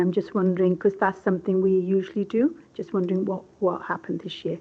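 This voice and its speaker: A woman's voice at medium pitch. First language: not English. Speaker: councillor. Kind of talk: council meeting question. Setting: hybrid council meeting. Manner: halting.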